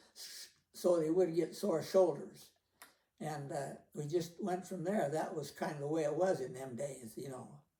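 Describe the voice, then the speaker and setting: A man with an American accent and a dark, mellow tone, at a moderate pace, with ordinary pitch variation, big swings in loudness and audible room echo. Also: fairly high pitch for a man. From Idaho. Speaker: retired cattleman. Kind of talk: oral history interview. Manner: halting.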